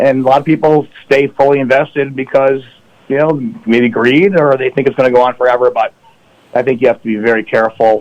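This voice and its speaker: Talking at a very fast pace, a man with an American accent keeps a medium pitch, fairly even intonation and very even loudness. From upstate New York. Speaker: financial advisor. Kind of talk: radio interview.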